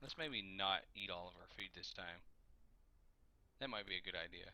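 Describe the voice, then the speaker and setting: This man has a bright, sharp tone and a fairly low pitch. He talks at a moderate pace. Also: ordinary pitch variation. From Kentucky. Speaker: video game streamer. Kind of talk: live gameplay commentary. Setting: livestream.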